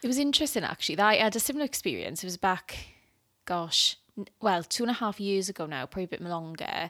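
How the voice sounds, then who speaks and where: With a Welsh accent, a woman talks at a very fast pace in a bright, sharp tone, medium pitch and lively intonation, on a very clean recording with a silent background. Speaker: podcast co-host and youth leader. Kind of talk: casual chat. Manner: giggly.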